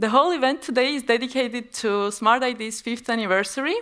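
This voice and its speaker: Here a woman with an Estonian accent talks at a fairly quick pace, fairly high in pitch with ordinary pitch variation. The recording is very clean, with a silent background. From Estonia, Tartu (born in Armenia, moved at seven). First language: Armenian. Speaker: business executive. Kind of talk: conference presentation.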